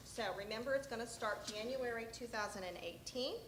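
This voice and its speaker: A woman with a fairly high voice talks at a moderate pace, with audible room echo. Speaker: state health program presenter. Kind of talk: conference presentation. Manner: loud.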